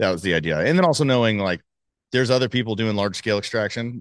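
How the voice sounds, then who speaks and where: A man with an American accent and a fairly low pitch at a very fast pace, in a dry, close sound with no echo and a quiet background. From Dallas, Texas. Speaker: cannabis company co-founder and CEO. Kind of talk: casual interview chat. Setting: company facility.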